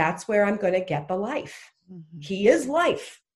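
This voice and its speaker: A woman with a Canadian accent and an unremarkable speaking voice, medium in pitch, lively in intonation, at a fairly slow pace. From Canada. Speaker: speaker and author. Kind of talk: casual interview.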